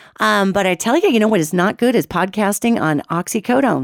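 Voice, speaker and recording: There is noticeable background noise, yet the sound is dry and close with no echo. A woman speaks at a fairly quick pace. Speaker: radio show host and psychic. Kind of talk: casual podcast monologue. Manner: chatty, informal.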